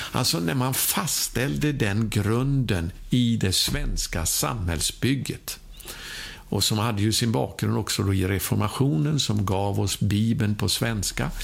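A man speaks at a very slow pace with a fairly low pitch, lively intonation and a somewhat breathy voice. His loudness stays very even, and audible room echo surrounds him. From Sweden. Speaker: preacher. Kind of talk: sermon.

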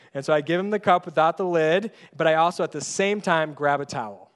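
Against a quiet background, a man with an ordinary speaking voice talks at a moderate pace, pitched fairly high with ordinary pitch variation. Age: 30s. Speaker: pastor. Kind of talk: sermon.

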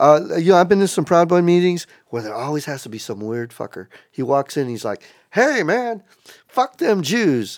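With an American accent, a high-pitched man speaks at a moderate pace, his pitch swinging very widely and his loudness rising and falling sharply. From South Texas. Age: 50s. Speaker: street artist. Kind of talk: casual chat. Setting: event space. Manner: halting.

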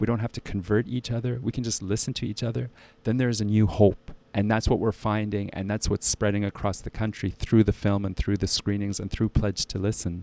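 The speaker talks with a Canadian accent. The recording is very clean, with a silent background. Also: man, fairly low pitch for a man, fairly quick pace. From Ottawa, Canada. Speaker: filmmaker. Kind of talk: interview. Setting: radio studio. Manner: hesitant, many fillers.

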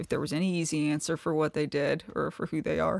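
A woman with a Kentucky accent, very deep and low in pitch with vocal fry, fairly quick, in a very clean recording with a silent background. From eastern Kentucky, Appalachia. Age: 30s. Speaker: novelist. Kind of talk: interview conversation.

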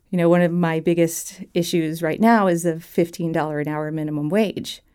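A woman with an American accent speaks at a fairly low pitch in a dark, mellow tone. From Southwest Virginia (Blacksburg). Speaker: potter and political organizer. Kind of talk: interview conversation.

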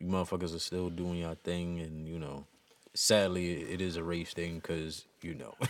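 Delivered at a moderate pace, the speech has a monotone, flat intonation. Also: man, very deep, low pitch for a man. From Queens, New York City. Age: 30s. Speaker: battle rap podcast co-host. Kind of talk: casual chat.

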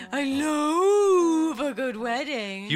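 A woman puts on a character voice with a high pitch. Clear background noise can be heard. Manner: ghostly, spooky.

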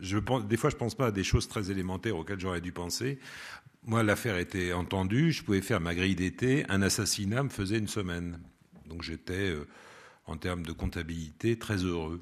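A man's very deep, low voice with ordinary pitch variation, at a fairly quick pace over a quiet background. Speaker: radio producer and host, former theatre actor. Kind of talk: public talk with audience Q&A. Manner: expressive, plays with intonation.

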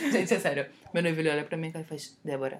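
Ordinary pitch variation runs through this voice. It belongs to a woman. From Recife, Brazil. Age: 20s. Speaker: podcast co-host. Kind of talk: casual chat.

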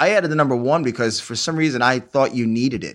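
Speaking at a very fast pace, a man with an American accent has a medium pitch and ordinary pitch variation. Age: 40s. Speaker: comic book artist. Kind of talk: casual chat.

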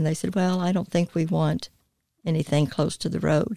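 The speaker is a woman. She talks with a North Carolina accent. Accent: Southern US (North Carolina). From US South, High Point, North Carolina. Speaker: church staff assistant. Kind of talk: interview testimony. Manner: talkative.

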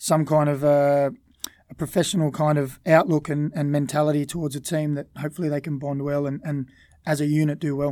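The delivery comes at a very fast pace in an Australian accent. The tone is dark and mellow. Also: man. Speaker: former footballer. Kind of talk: casual chat.

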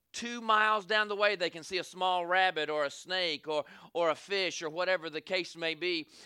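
A man with a Southern US accent, high-pitched, with a bright, sharp and animated tone at a moderate pace, on a very clean recording with a silent background and a dry, close sound with no echo. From US South. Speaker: evangelist preacher. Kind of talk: Southern-style revival sermon, call-and-response with congregation. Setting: church service with congregation. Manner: animated, rhythmic preaching with repeated 'say amen' calls.

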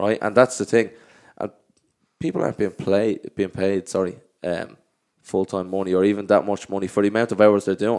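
Recorded very cleanly with a silent background, a man with an Irish accent and a fairly low pitch speaks at a fairly quick pace, with fairly even intonation and long, frequent pauses. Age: 30s. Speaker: professional footballer. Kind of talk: casual chat. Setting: studio.

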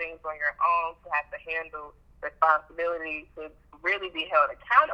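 A woman with an American accent speaks at a moderate pace in a fairly low pitch. Noticeable background noise can be heard. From Chicago South Side, US. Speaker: accountant and business owner. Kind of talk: casual chat.

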